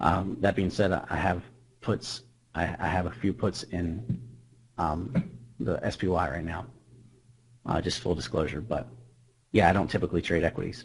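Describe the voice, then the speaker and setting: A man speaks with a very deep, low voice and vocal fry. He leaves long, frequent pauses. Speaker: trader presenting a trading indicator. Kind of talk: webinar presentation. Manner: fast.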